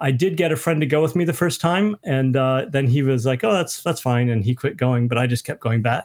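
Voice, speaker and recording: A man with a plain, everyday voice speaks at a fairly quick pace and medium pitch, with lively intonation, very even loudness and hardly any pauses. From US Midwest (Michigan). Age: 50s. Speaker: author. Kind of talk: casual chat. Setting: video call.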